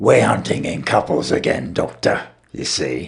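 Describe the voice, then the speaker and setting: A man puts on a character voice, raspy and very deep. He talks at a moderate pace. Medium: read story. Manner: lofty, consequential.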